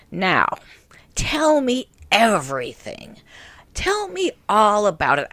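Using a put-on character voice, a female-sounding speaker goes at a fairly slow pace with long, frequent pauses, a gravelly texture and fairly high pitch. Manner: warm, curious.

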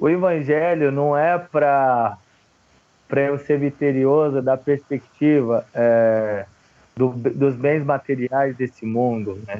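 Speaking very slowly, a man uses a fairly high pitch that varies in a normal way. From São Paulo, Brazil (north zone periphery). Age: 20s. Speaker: theologian and antifascist activist. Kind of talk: interview conversation.

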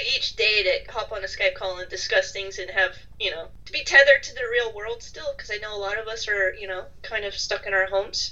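Over noticeable background noise, a woman with an American accent talks at a fairly quick pace. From United States. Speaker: podcast co-host. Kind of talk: casual chat.

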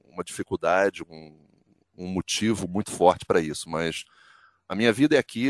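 Recorded very cleanly against a silent background, a man speaks at a fairly quick pace with a dry, close sound and no echo. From Brazil. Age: 50s. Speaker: sports commentator and journalist. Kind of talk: interview.

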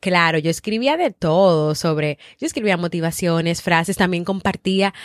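The speech comes at a moderate pace with ordinary pitch variation. The recording is very clean, with a silent background and a dry, close sound with no echo. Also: woman. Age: 30s. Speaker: podcast host and psychologist. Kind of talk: motivational podcast monologue.

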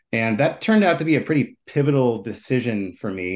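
A man with an American accent and an unremarkable speaking voice, at a fairly quick pace with lively intonation, over a quiet background. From Minneapolis, Minnesota. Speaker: brewery co-founder and entrepreneur. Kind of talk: interview.

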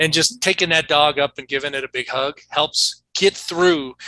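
Speaking with an American accent in an ordinary speaking voice, a man talks at a moderate pace with a fairly high pitch and fairly even intonation, the sound dry and close with no echo. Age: 50s. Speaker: toxicologist. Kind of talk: interview.

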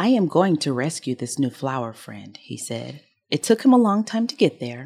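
A woman with a dark, mellow tone and vocal fry swings her pitch very widely, in a dry, close sound with no echo. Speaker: podcast co-host. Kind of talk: casual chat.

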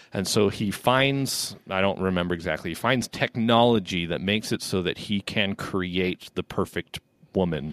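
A man speaks at a moderate pace in a very deep, low voice with ordinary pitch variation, recorded very cleanly with a silent background and a dry, close sound free of echo. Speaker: podcast co-host. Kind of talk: casual chat.

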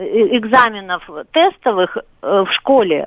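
A woman talks at a very slow pace. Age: 40s. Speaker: caller. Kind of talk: call-in comment. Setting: phone call.

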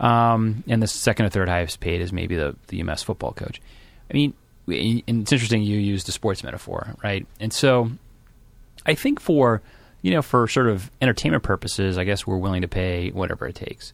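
On a very clean recording with a silent background, a man with a plain, everyday voice and a fairly low pitch talks at a fairly quick pace with ordinary pitch variation. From Massachusetts, Boston area (Randolph). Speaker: former transportation official. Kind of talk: interview.

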